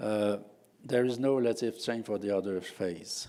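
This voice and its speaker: The voice has a dark, mellow tone and ordinary pitch variation. It moves at a moderate pace in a Quebec accent. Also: man. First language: French. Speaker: professor. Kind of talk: conference talk. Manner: halting, many fillers.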